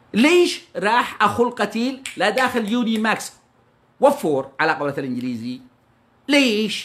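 A man's high-pitched, animated voice makes very wide pitch swings. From Yemen. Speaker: news commentator; news channel commentator. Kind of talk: impassioned monologue. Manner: fast. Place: home room. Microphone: phone near.

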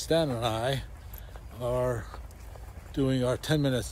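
A somewhat breathy man with an American accent is heard in a dry sound with no echo and light background noise. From Chicago, Pilsen (near West Side); Chicago. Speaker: vlogger's travel companion. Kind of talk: casual vlog narration. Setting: outdoors waiting in line. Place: open country. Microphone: phone near.

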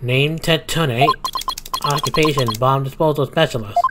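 Using a robotic, put-on character voice, a man talks at a moderate pace with a fairly high pitch.

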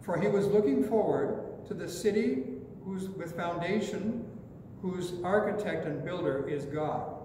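Speaking at a fairly slow pace with hardly any pauses, a man with a high pitch and ordinary pitch variation is heard amid light background noise and audible room echo. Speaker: pastor. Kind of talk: sermon. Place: church. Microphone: podium.

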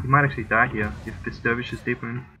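Very fast speech over noticeable background noise. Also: man. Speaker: gaming commentator. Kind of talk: esports commentary. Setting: recorded voiceover of a replay. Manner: calm, analytical play-by-play.

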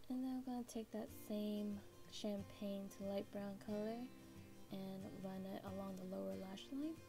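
Clear music runs underneath. Over it, a woman talks at a fairly slow speed. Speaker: beauty vlogger. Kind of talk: makeup tutorial talk to camera. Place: home room. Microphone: camera far.

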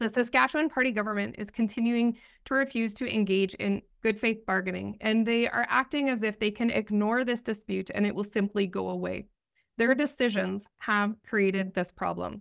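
With ordinary pitch variation, a woman talks at a moderate pace in a quiet setting. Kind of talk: press statement. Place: office. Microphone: earbuds.

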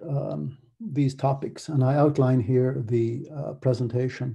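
A man with an American accent speaks at a medium pitch with fairly even intonation. His voice is somewhat breathy with a dark, mellow tone, over a quiet background. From Ireland. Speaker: academic researcher; conference presenter. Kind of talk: conference presentation. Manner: many fillers, hesitant. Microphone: webcam.

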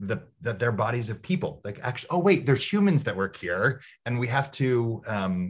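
A man's somewhat breathy voice at a moderate pace, with very wide pitch swings against a quiet background. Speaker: diversity and inclusion consultant hosting a webinar; guest. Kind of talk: online interview conversation. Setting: video call. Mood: warm, smiling. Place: home room. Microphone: video call.

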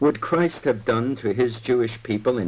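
A man is talking. His accent is American. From New York. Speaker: broadcaster and journalist. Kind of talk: radio talk. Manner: dated, epic 1940s radio style; impassioned.

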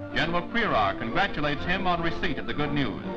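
Someone speaks at a very fast pace with clear music in the background. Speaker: newsreel narrator. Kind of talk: wartime newsreel narration. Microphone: old recording.

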